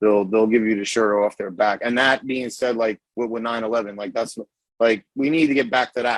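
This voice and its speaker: The sound is dry and close with no echo, as a man speaks with a New York accent. He keeps a medium pitch, a moderate pace and fairly even intonation. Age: 30s. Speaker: cigar company owner. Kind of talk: casual chat.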